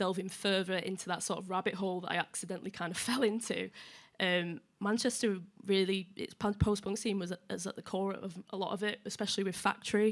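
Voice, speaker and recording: Fairly quick, monotone speech from a woman at medium pitch, with a Yorkshire accent and flat intonation. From northern England, Leeds. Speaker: music journalist. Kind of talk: panel discussion.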